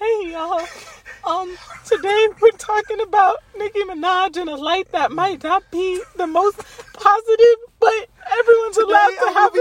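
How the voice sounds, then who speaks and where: In a put-on character voice, a woman speaks at a moderate pace with an extremely high pitch, a shaky, nervous tone, and long, frequent pauses. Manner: nervous, hesitant.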